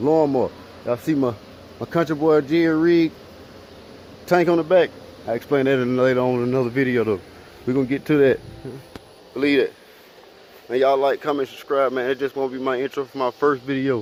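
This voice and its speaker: Despite long, frequent pauses, a man speaks at a fairly quick pace with medium pitch over noticeable background noise. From Alabama. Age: 20s. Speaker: vlogger, car rebuilder. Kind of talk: casual vlog to camera. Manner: fast; animated.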